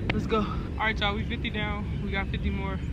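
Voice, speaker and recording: Loud background noise runs under a woman's voice. She speaks at a fairly quick pace in a dry sound with no echo. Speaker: college student. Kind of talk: casual workout vlog to camera. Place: open country.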